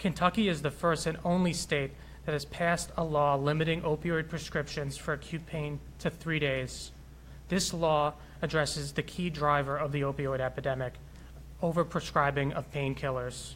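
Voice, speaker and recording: A man with a fairly high pitch speaks at a moderate pace, his intonation fairly even. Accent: New York. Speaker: physician, health executive. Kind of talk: prepared speech. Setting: city hall with audience.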